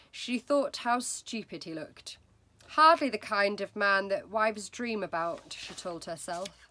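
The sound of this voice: Lively intonation marks an unforced reading voice.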